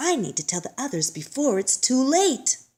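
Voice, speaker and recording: A put-on character voice swings through very wide pitch changes. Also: female-sounding voice, high pitch for a woman, moderate pace. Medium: read story.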